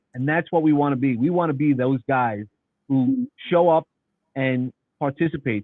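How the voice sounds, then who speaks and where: Speaking with a New York accent, a man keeps a moderate pace. His medium pitch shows ordinary variation. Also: long, frequent pauses. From New York City. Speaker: nonprofit founder. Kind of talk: casual chat.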